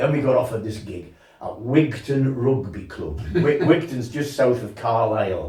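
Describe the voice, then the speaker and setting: Audible room echo surrounds a man's dark, mellow, somewhat breathy voice. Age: 70s. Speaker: folk singer. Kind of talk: casual chat. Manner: halting.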